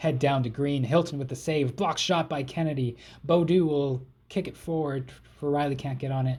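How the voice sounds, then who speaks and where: Speaking with a Canadian accent, a somewhat breathy man keeps a fairly even intonation at a moderate pace and a fairly high pitch. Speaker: gaming YouTuber. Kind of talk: video game let's play commentary. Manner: casual, play-by-play.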